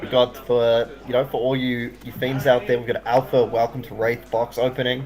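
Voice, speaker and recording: A man speaks at a medium pitch in a monotone, flat intonation, with hardly any pauses. There is noticeable background noise. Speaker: esports commentator. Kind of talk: live commentary. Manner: fast; mumbling at times.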